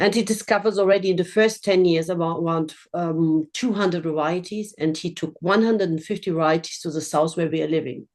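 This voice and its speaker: Against a quiet background, a woman talks at a fairly quick pace with hardly any pauses, in a fairly low pitch and fairly even intonation. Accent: German. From Germany. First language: German. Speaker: winery owner. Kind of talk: virtual tasting presentation. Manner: halting.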